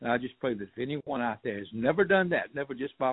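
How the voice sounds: A man with a South Georgia accent and a slightly husky edge talks at a fairly quick pace with ordinary pitch variation. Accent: rural South Georgia, US Southern.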